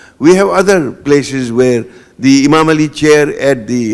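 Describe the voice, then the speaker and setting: A man with a Gujarati accent at a moderate pace, fairly high in pitch, with ordinary pitch variation. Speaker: guest lecturer. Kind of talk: panel discussion after a lecture. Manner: hesitant, with many fillers and repetitions.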